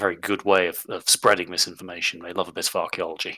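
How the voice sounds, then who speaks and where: In a put-on character voice, a man talks raspy and very fast at a very deep, low pitch. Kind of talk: formal council speech. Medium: actual play. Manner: hesitant, halting, thoughtful.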